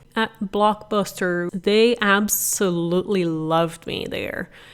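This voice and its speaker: In a Portuguese accent, a woman speaks with fairly even intonation. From Brazil. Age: 30s. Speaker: podcast host, real estate investor. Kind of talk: personal story monologue.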